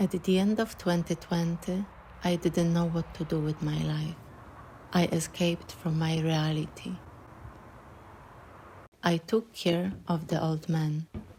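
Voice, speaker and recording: At a fairly slow pace, a woman speaks in a fairly low pitch and a dark, mellow, somewhat breathy tone, her intonation monotone and flat, with long, frequent pauses. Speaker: filmmaker, narrator. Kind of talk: personal film narration.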